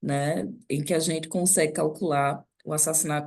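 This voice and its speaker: Moderate pace and ordinary pitch variation. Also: woman. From Northeast Brazil, Recife. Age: 40s. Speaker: NGO director and professor. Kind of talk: guest lecture.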